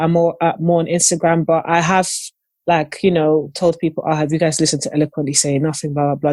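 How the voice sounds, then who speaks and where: A very clean recording with a silent background captures talking at a fairly quick pace. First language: not English. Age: 20s. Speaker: podcast guest. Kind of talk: casual chat.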